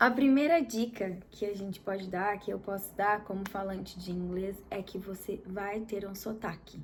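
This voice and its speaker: With a Brazilian accent and a somewhat breathy quality, the voice moves at a fairly slow pace with ordinary pitch variation. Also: woman. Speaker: English teacher, video host. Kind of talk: casual educational chat.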